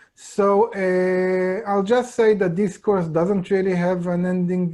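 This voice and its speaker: A man with an Israeli accent, a high pitch, a dark, mellow tone, ordinary pitch variation and a very slow pace, over a quiet background. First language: Hebrew. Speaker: Kabbalah teacher. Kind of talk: lecture. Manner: halting.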